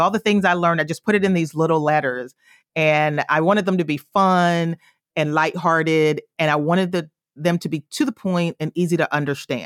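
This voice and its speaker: A woman with a normal speaking voice and an American accent talks at a fairly quick pace, fairly low pitch and fairly even intonation, in a dry, close sound with no echo on a very clean recording with a silent background. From US South, rural South Carolina. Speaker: personal finance author and educator. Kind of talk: interview.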